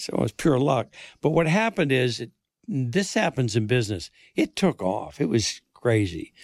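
A man with an American accent speaks at a medium pitch and a moderate pace, his voice swinging very widely in pitch and showing vocal fry. The recording is very clean and dry, close with no echo, over a silent background. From Maine, US (Bangor). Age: 70s. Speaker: retired newspaper executive and publisher. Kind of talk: casual interview. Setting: studio.

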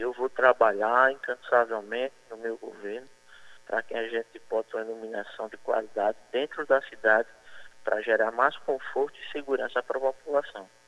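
A man's normal speaking voice at a medium pitch and moderate pace, with fairly even intonation and big swings in loudness. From Bayeux, Paraíba, Brazil. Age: 30s. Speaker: mayoral candidate. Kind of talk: radio interview.

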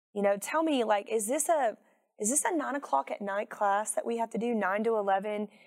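A woman with a normal speaking voice, fairly high in pitch, at a fairly quick pace. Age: 40s. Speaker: firearms instructor. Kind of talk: casual interview.

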